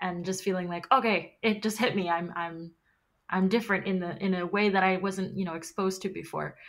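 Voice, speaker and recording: A woman at a medium pitch with fairly even intonation and a fairly quick pace, on a very clean recording with a silent background. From Queens, New York. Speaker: podcast host. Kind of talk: interview conversation.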